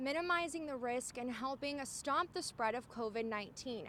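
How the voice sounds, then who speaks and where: A woman with a high voice speaks at a moderate pace, her pitch moving in an ordinary way while noticeable background noise persists. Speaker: TV news reporter. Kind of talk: TV news report.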